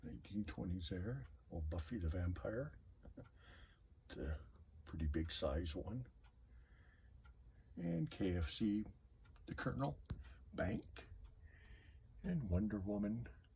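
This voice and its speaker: With long, frequent pauses and vocal fry, a man speaks at a very slow pace in a very deep, low pitch. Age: 60s. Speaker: collector. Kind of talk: casual video tour of collection. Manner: casual, halting.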